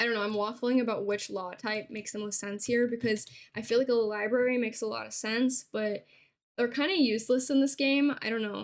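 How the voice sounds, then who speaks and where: A woman speaks in a plain, everyday voice. Her pitch is fairly high, with fairly even intonation. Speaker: Sims gameplay content creator. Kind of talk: casual talk to camera.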